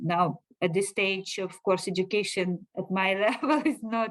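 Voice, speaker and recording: In a Russian accent, a woman speaks at a medium pitch. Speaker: finance director. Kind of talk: interview.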